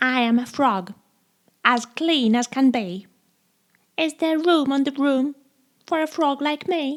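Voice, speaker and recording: Putting on a character voice, a woman speaks at a high pitch and a fairly slow pace with long, frequent pauses. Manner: polite.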